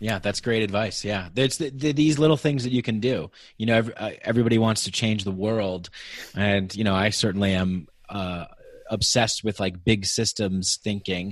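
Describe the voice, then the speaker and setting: At a moderate pace, a man uses an ordinary speaking voice with a fairly low pitch and ordinary pitch variation. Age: 30s. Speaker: podcast host. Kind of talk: casual chat.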